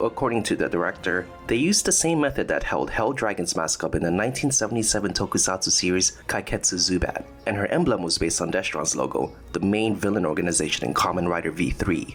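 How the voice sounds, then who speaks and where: A man talks at a very fast pace with hardly any pauses and lively intonation. His loudness stays very even, with music in the background. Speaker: video essayist. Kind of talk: documentary-style video essay narration.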